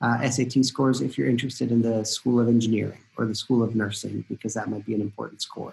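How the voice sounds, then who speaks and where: Pitched in a medium range, the man speaks rather quickly. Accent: Spanish. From Costa Rica. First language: Spanish. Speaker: college admissions dean. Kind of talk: informational webinar talk. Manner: hesitant, many fillers.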